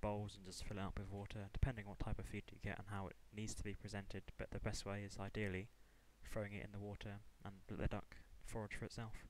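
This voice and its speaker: A man at a very fast pace, fairly low in pitch, with monotone, flat intonation. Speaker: college student. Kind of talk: class presentation.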